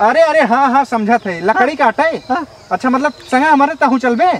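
A man's voice at a fairly slow pace, the sound dry with no echo. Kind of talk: comedy skit dialogue. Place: open country. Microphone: camera far.

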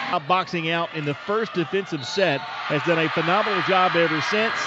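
Noticeable background noise runs under a voice whose pitch varies in an ordinary way. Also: man. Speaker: basketball play-by-play announcer. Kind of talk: live sports commentary, play-by-play of a women's college basketball game. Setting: broadcast of a game, edited highlights. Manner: rapid-fire, clipped play-by-play delivery, excited on threes and steals.

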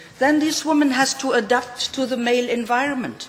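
This is a woman speaking at a high pitch. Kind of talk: conference speech. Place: hall. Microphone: podium.

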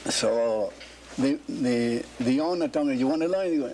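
With an American accent, a man talks at a fairly slow pace. There is noticeable background noise. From Key West, Florida. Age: 80s+. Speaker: cigar maker. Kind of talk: interview answer. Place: workshop.

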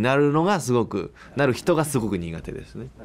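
A man at a fairly quick pace. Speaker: voice actor, radio host. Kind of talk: casual radio talk. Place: studio.

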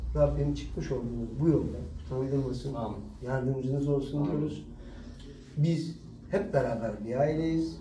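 With long, frequent pauses, a man speaks at a fairly slow pace in a dark, mellow tone with vocal fry and ordinary pitch variation, over light background noise and audible room echo. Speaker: party official. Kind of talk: welcoming speech. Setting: party district office. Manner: formal. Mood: warm, supportive. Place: office. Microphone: camera far.

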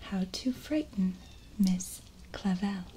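Soft-spoken and very slow, the voice shows ordinary pitch variation over light background noise. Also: woman. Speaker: storybook reader. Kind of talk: reading a children's story aloud. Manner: soft, hushed ASMR storytelling voice. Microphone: webcam.

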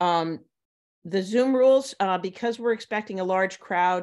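Against a quiet background, a woman has a normal speaking voice, fairly low in pitch with ordinary pitch variation. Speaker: event host. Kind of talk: meeting introduction. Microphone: video call.

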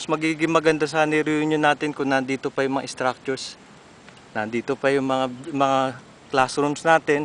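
A man speaks in a fairly high pitch with flat, monotone intonation at a moderate pace. The sound is dry with no echo, over light background noise. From Philippines. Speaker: alumnus giving video tour of old school. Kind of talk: walking video tour narration. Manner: halting, with many fillers. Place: open country. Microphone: phone near.

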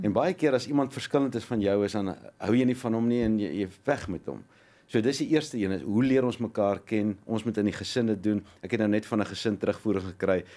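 Here a man speaks with a fairly low pitch. His tone is dark and mellow. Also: ordinary pitch variation. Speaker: motivational speaker. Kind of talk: studio interview. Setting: studio. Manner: energetic. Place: studio. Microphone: studio mic.

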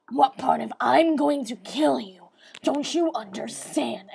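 Doing a put-on character voice, a woman growls at a fairly high pitch and a fairly slow pace. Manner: menacing, put-on.

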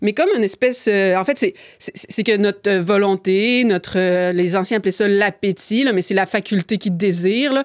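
Over a quiet background, a woman speaks at a moderate pace and a medium pitch, her loudness very even and her pitch varying in an ordinary way. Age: 30s. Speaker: philosophy columnist; podcast guest. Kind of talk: casual chat. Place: studio. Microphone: studio mic.

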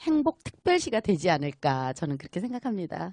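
In a dry, close recording with no echo and a quiet background, a woman speaks with very wide pitch swings. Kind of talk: casual interview chat. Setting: market radio broadcast.

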